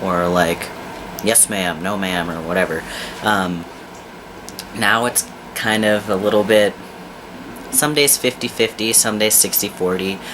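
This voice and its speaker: Long, frequent pauses and ordinary pitch variation over noticeable background noise. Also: man, fairly low pitch for a man. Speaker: vlogger. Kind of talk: casual vlog update. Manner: frequent filler ums.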